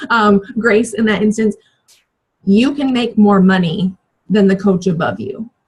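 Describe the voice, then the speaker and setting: At a fairly slow pace with long, frequent pauses, a woman speaks in a somewhat breathy voice with a medium pitch and ordinary pitch variation. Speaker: fitness business coach. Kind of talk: training call.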